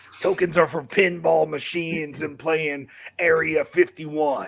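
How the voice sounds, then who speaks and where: A man puts on a gruff character voice in a Southern accent, pitched fairly high. He speaks at a fairly slow pace in a flat monotone. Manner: gruff, tough-guy.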